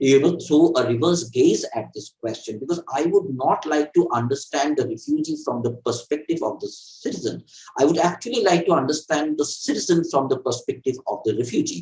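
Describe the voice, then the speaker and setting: A man speaks with a Bengali accent, barely pausing at all. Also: fairly quick pace. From India, Assam (East Bengali family). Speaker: author and political theorist. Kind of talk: interview. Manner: halting, many fillers and repetitions.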